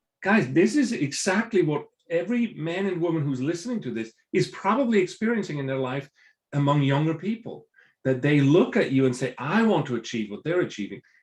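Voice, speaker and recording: A man speaks at a fairly quick pace in a fairly high voice. His pitch swings very widely. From Switzerland. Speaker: business professor and entrepreneur. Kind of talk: podcast interview. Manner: repeats words when starting sentences.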